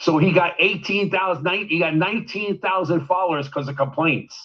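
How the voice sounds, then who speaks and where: A man speaks at a fairly quick pace with an animated tone and ordinary pitch variation. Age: 60s. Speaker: media producer. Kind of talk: casual chat. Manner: halting.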